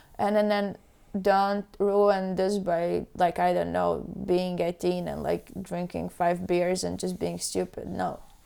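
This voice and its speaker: A woman speaks very slowly with a Latvian accent. The recording is very clean, with a silent background. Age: 20s. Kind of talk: casual chat.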